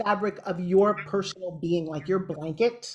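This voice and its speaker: A woman's somewhat breathy voice. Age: 60s. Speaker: TV host and motivational speaker. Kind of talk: interview. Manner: animated.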